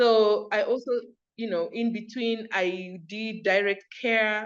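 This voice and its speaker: A fairly high-pitched woman's voice with an American accent, at a fairly slow pace. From Kenya, Kakamega. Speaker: entrepreneur and community group founder. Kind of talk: interview. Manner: animated.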